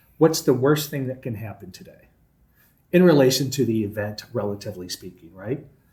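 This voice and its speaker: A man's somewhat breathy voice at a fairly quick pace, with ordinary pitch variation. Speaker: college president. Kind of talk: interview. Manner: occasional pauses on words.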